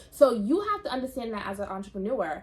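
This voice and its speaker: A woman talks in a fairly high register with a somewhat breathy quality. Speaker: lash business owner and vlogger. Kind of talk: casual vlog talk; product showcase. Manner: hesitant with fillers and restarts.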